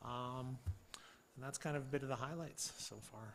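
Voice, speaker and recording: A man at medium pitch speaks with a bright, sharp tone, and audible room echo surrounds his voice. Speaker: police officer. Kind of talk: council meeting report. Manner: fast.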